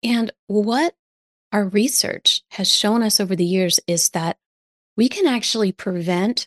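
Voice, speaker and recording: Over a quiet background, a woman with a normal speaking voice talks at a medium pitch and a fairly slow pace, with ordinary pitch variation and a dry, close sound with no echo. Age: 50s. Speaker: physician, lifestyle medicine coach. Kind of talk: interview.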